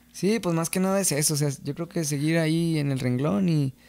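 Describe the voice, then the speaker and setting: A man talks at a fairly quick pace and a fairly high pitch. His tone is dark and mellow, with ordinary pitch variation. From Mexico, San Gabriel, Jalisco; Jalisco, Mexico. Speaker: singer-songwriter of corridos; podcast guest. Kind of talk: casual interview chat. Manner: hesitant, many fillers. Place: studio. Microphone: studio mic.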